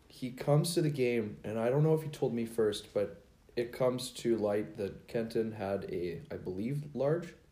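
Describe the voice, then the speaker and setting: Lively intonation from a man with a dark, mellow tone and medium pitch, at a moderate pace, with audible room echo. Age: 20s. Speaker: beer league hockey player. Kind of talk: casual chat. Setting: home garage.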